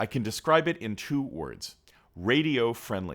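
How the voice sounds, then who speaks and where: Vocal fry runs through a man's speech, delivered at a moderate pace with very wide pitch swings in a very clean recording with a silent background. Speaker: YouTube reviewer. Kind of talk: scripted narration. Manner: smooth, measured.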